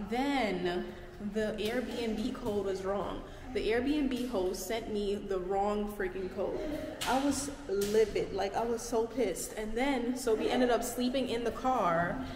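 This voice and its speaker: A woman at a very slow pace, ordinary pitch variation, noticeable background noise. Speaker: vlogger. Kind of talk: casual vlog storytime. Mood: annoyed, recounting bad night. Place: home room. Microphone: phone near.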